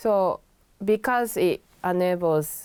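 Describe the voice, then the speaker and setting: A dark, mellow tone in a Japanese accent on a very clean recording with a silent background. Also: woman. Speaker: pianist and music teacher. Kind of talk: interview.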